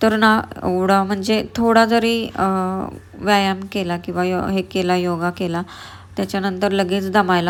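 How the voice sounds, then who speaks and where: The recording is very clean, with a silent background. A woman at medium pitch speaks in a monotone, flat manner. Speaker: vlogger. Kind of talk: casual vlog talk.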